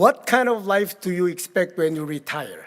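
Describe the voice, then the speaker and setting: This man speaks with a Korean accent in a high pitch. His intonation is lively. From Korea, rural village. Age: 80s+. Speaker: keynote speaker. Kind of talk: keynote speech. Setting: gala stage with audience. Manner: halting.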